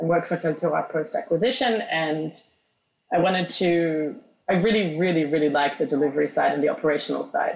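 This woman has a fairly low pitch and ordinary pitch variation. Vocal fry runs through her voice. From Australia, moved to Israel at 12. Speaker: tech company executive. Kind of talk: interview.

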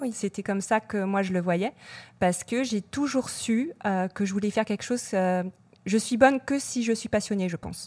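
A woman with a somewhat breathy voice speaks at a moderate pace and medium pitch with ordinary pitch variation, the sound dry and close with no echo. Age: 40s. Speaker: social media and influencer marketing manager. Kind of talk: interview.

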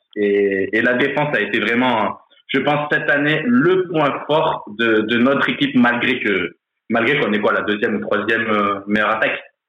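A man with a plain, everyday voice speaks at a medium pitch and moderate pace, with ordinary pitch variation and very even loudness. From France, Grenoble. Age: 30s. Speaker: football supporter. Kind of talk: casual chat.

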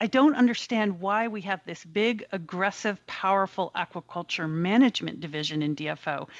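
In a plain, everyday voice, a woman speaks at a medium pitch and a moderate pace with lively intonation, the sound dry and close with no echo. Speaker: biologist and researcher. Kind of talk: interview.

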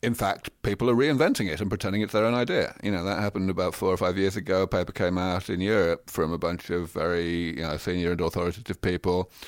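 Recorded very cleanly with a silent background, a man with a southern English accent speaks at a very fast pace in a very deep, low voice with ordinary pitch variation. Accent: southern English (British). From London, England. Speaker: scientist. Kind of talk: interview.

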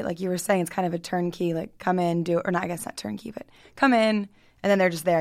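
Talking very fast at medium pitch with ordinary pitch variation, a woman with an American accent is heard in a very clean recording with a silent background. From Baltimore County, Maryland. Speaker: podcast host. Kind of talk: interview.

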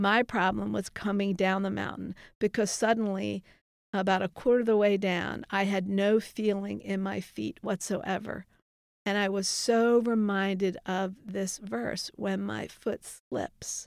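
A plain, everyday voice with an American accent, at a fairly slow pace with fairly even intonation, on a very clean recording with a silent background. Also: woman, medium pitch for a woman. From Baltimore, Maryland. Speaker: youth ministry director. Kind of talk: testimony.

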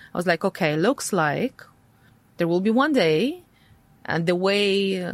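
In a Russian accent, a woman speaks at a fairly slow pace and a medium pitch, with lively intonation and long, frequent pauses. The recording is very clean, with a silent background. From Latvia, Riga, Russian-speaking family. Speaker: tech entrepreneur. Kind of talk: interview conversation. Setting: studio.

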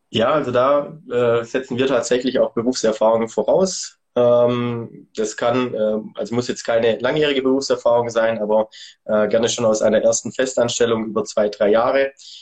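A man talks at a moderate pace and medium pitch with hardly any pauses. It is a normal speaking voice with fairly even intonation. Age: 30s. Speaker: events and sponsoring manager at a sports retailer. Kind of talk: interview.

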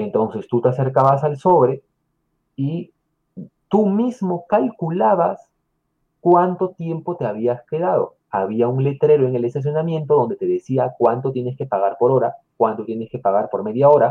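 Lively intonation runs through a plain, everyday voice that moves at a moderate pace. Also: man, fairly high pitch for a man. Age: 30s. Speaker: YouTuber living in Japan. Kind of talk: casual chat.

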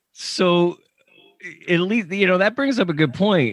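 Someone with an American accent speaks at a fairly slow pace in an animated tone. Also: man. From Pennsylvania. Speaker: podcast host, meteorologist and stadium announcer. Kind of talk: casual chat.

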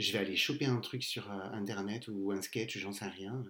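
With audible room echo around him, a man speaks at a fairly low pitch in a bright, sharp tone. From southern France, Castres. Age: 40s. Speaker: podcast guest. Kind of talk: casual chat.

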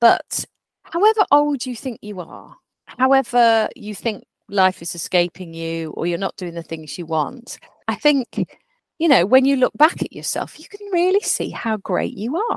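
A woman speaks at a moderate pace with a fairly high pitch, very wide pitch swings, and big swings in loudness. The sound is dry and close, with no echo. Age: 40s. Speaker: podcast co-host. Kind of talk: casual chat.

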